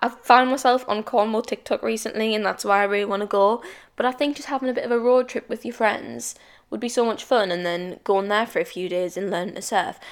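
In a very clean recording with a silent background, a woman with a British accent speaks at a fairly quick pace in an animated tone, with ordinary pitch variation. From England. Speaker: podcast host. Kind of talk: casual solo chat. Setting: home, solo recording. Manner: chatty, animated.

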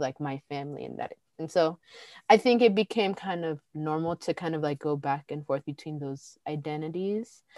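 With a Californian accent, a woman speaks at a moderate pace in a very deep, low pitch, her tone dark and mellow with ordinary pitch variation. The recording is very clean with a silent background, and the sound is dry and close with no echo. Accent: Californian American. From Pasadena, Los Angeles. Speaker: podcast co-host. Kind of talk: casual chat.

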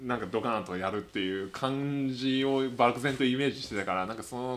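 A man's normal speaking voice, medium-pitched, with ordinary pitch variation at a moderate pace. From Tokyo, Japan. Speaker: podcast co-host. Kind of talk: casual chat.

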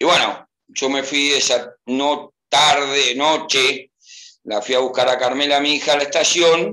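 A man speaks at a fairly slow pace and a fairly high pitch. His tone is bright and sharp, with vocal fry. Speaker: football fan. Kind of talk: casual chat. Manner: animated.

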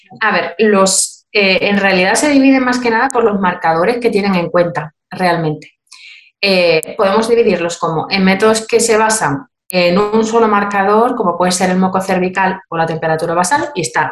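Ordinary pitch variation and a moderate pace from a woman at medium pitch. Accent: Andalusian. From Cádiz, Andalusia, Spain. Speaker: midwife and fertility method instructor. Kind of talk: informative interview.

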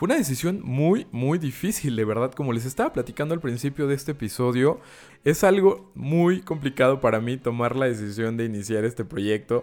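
A man's animated voice with lively intonation and a Mexican accent. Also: medium pitch for a man, fairly quick pace. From Mexico, Córdoba, Veracruz. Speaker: podcaster and photographer. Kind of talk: solo podcast monologue.

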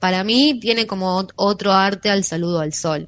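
This woman has an unremarkable speaking voice at a medium pitch with ordinary pitch variation. Her pace is fairly slow. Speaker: radio host and teacher. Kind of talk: casual chat; yoga explanation.

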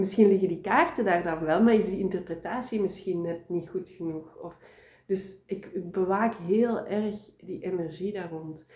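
A woman's somewhat breathy, medium-pitched voice with a dark, mellow tone, a fairly slow pace, fairly even intonation and big swings in loudness. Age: 30s. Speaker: tarot reader. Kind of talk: interview.

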